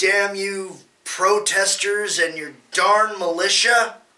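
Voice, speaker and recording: A put-on character voice at a middle pitch unfolds at a very slow pace. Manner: cartoonish, exasperated villain.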